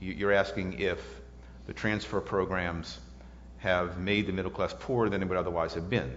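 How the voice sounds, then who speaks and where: Very deep, low male voice in an American accent, with vocal fry, lively intonation and audible room echo. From US South, New Orleans. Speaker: economics professor. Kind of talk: lecture Q&A. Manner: halting.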